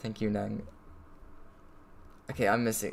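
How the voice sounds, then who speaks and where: A man at medium pitch speaks at a moderate pace over noticeable background noise. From Australia. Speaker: streamer. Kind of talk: casual chat. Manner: casual, disfluent.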